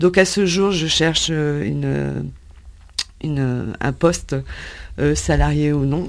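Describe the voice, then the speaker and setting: A woman talks at a very slow pace, leaving long, frequent pauses. Background noise is noticeable throughout. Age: 50s. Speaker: job seeker, HR consultant. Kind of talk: radio interview. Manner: halting.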